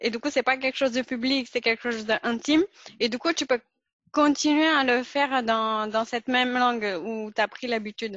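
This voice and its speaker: Her pitch variation is ordinary. This woman's voice sits at a high pitch. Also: moderate pace. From Pakistan. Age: 20s. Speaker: podcast host. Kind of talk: casual interview conversation.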